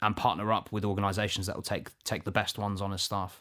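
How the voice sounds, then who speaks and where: Very fast and monotone, a man talks with flat intonation at a fairly low pitch. The recording is very clean, with a silent background. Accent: English. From England. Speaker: podcast co-host. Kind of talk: casual chat.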